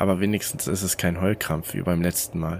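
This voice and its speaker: This man talks at a moderate pace. His pitch sits very deep and low. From Rhineland, Germany. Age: 20s. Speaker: podcast host and story narrator. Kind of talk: reading aloud horror stories.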